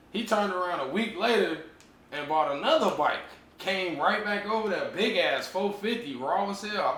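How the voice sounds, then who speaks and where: Audible room echo and noticeable background noise surround the voice. A man speaks at a high pitch. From Chicago Heights, Illinois (moved from Cleveland as a kid). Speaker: dirt bike rider. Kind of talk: casual interview.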